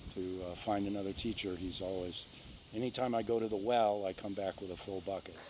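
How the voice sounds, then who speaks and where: In a room with audible echo, a man speaks at a fairly quick pace with a fairly low pitch and monotone, flat intonation. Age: 60s. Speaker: meditation teacher. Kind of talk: interview. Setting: outdoors in the jungle. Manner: halting, with many fillers.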